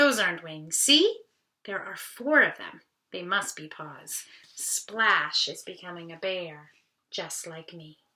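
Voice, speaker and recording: A woman performs a put-on character voice at a fairly slow pace. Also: medium pitch for a woman. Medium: read story.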